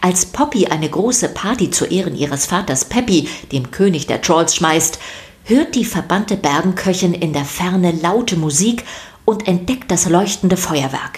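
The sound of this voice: At a fairly slow pace and with few pauses, a woman speaks with a fairly low pitch and lively intonation.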